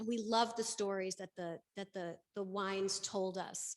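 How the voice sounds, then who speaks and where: A woman with an American accent, medium pitch and moderate pace. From New York. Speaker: panel moderator, winery owner. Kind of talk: panel discussion.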